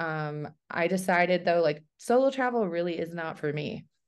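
An unremarkable speaking voice at a moderate pace. The background is quiet. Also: woman. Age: 40s. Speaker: professional traveler and content creator. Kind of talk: casual interview.

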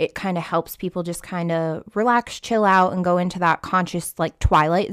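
A woman with an unremarkable speaking voice talks at a moderate pace and fairly low pitch. The recording is very clean with a silent background and a dry, close sound with no echo. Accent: American. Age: 20s. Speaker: ICU nurse and nursing instructor. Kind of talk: casual interview chat.

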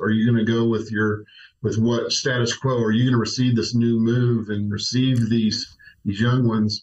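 This man has a somewhat breathy voice at medium pitch, with an American accent and a flat, monotone delivery. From Oklahoma, Tulsa. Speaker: senior pastor. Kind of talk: casual interview.

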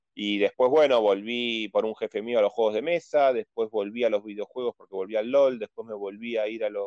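This man has an ordinary speaking voice, medium pitch, a fairly quick pace and fairly even intonation. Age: 40s. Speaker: board game enthusiast. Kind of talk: casual chat.

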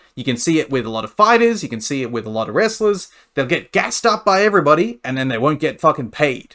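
Very fast and fairly high-pitched, a man with an Australian accent speaks in a bright, sharp tone, his pitch swinging very widely. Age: 30s. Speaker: amateur fighter and pro wrestler. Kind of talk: casual interview.

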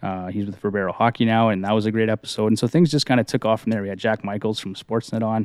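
Talking at a very fast pace with hardly any pauses, a man speaks in a western Canadian accent. The recording is very clean, with a silent background. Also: fairly even intonation, dry, close sound with no echo. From Canadian Prairies. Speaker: fantasy hockey podcaster. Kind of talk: casual interview.

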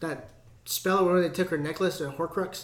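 Noticeable background noise sits behind a man speaking at a high pitch. He talks at a fairly quick pace. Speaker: podcast co-host. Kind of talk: casual chat. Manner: casual, heavy profanity.

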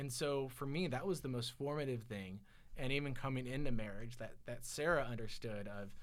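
There is audible room echo as a man with an American accent speaks at a fairly quick pace. His pitch is medium, with ordinary variation. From California, Silicon Valley. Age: 40s. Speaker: guest. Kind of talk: casual chat. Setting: studio.

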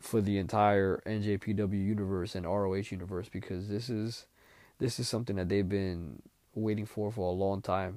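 A man's fairly low, dark and mellow voice with fairly even intonation, on a very clean recording with a silent background. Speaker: wrestling podcast host. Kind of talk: casual solo commentary. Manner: casual, many fillers and repetitions.

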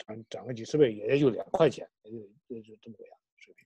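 This man's dark, mellow tone comes through at a fairly quick pace. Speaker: political commentator. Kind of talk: casual discussion. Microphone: too quiet.

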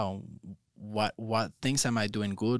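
A man with a Spanish accent and a fairly low pitch, ordinary pitch variation and a fairly slow pace, in a very clean recording with a silent background and a dry, close sound with no echo. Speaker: yoga teacher trainer. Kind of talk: casual interview. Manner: hesitant, with many fillers.

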